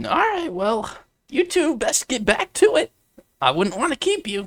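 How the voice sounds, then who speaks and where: A man puts on a character voice. It is extremely high for a man and swings very widely in pitch. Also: moderate pace. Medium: read story. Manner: folksy.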